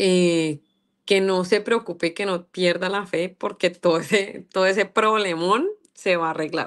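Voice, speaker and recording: Against a quiet background, a woman talks at a fairly slow pace with fairly even intonation. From Colombia, Bogotá. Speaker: singer; interviewee. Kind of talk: interview. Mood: warm, grateful, smiling. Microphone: video call.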